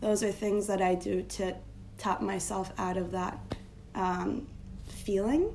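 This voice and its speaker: A woman speaks very slowly with long, frequent pauses, her voice carrying audible room echo amid noticeable background noise. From Turkey. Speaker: design strategist. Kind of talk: casual interview.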